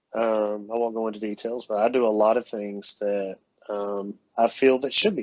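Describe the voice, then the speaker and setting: With a Southern US accent, a man talks in a monotone, flat manner at a medium pitch. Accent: Southern drawl. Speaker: dental lab owner and technician. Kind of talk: casual interview chat. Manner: halting, many fillers.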